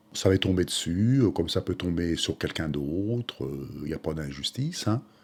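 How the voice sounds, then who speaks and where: Recorded very cleanly against a silent background, a man talks at a moderate pace with a very deep, low pitch and lively intonation. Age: 60s. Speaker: retired waiter, peer group member. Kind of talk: documentary testimony.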